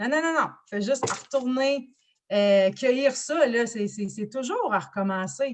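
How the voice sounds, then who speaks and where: Loud and very slow, a woman with a Quebec accent speaks at a high pitch with ordinary pitch variation. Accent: Québécois French. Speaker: business coach. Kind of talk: interview.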